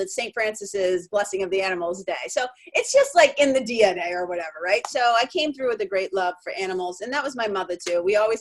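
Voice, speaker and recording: A woman with an American accent talks at a fairly high pitch and a fairly quick pace, with ordinary pitch variation. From Lawrence and Boston, Massachusetts. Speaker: spiritual mentor, writer, speaker. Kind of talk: interview answer.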